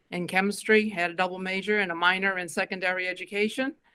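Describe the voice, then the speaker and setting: A woman with a slight Massachusetts accent talks with fairly even intonation. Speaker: school board member and candidate. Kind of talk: candidate forum statement.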